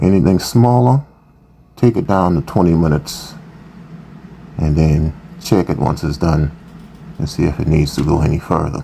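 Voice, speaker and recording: With long, frequent pauses, a man talks in a very deep, low voice against noticeable background noise. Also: lively intonation, moderate pace. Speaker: cooking channel host. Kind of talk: tutorial. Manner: casual.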